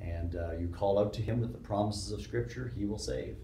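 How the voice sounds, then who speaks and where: The speech moves at a moderate pace with audible room echo. Light background noise can be heard. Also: man. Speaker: interviewee, theology professor. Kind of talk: interview answer. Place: studio.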